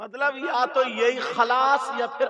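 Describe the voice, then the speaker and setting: Projecting loudly, a man talks in an extremely high register. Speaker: Islamic preacher delivering a sermon. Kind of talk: Islamic sermon (bayan) delivered to an audience. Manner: emotional, storytelling, dramatic retelling.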